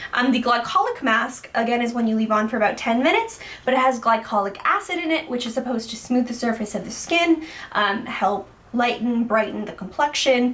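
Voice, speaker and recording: Against noticeable background noise, a woman speaks at a fairly quick pace in a high pitch. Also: ordinary pitch variation. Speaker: beauty vlogger. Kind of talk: product review. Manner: casual, many fillers.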